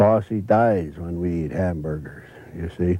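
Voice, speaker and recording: A man speaks with an American accent in a very deep, low pitch. His tone is dark and mellow, with fairly even intonation. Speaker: river guide and naturalist. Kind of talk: casual explanation. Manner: slow.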